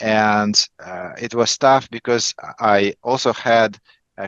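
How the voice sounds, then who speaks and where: A man with a Russian accent speaks in a fairly low voice, his intonation fairly even. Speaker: negotiation coach. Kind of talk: interview. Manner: halting, many fillers and repetitions.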